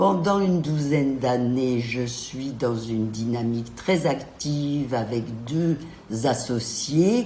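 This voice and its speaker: A woman speaks very slowly with lively intonation. The room echo is audible, and background noise is noticeable. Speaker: gynecologist. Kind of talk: interview. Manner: hesitant, frequent euh.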